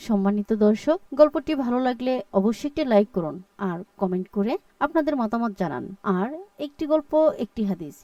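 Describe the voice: A woman's fairly high-pitched voice, dark and mellow in tone, with lively intonation, few pauses, and a dry, close sound with no echo. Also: moderate pace.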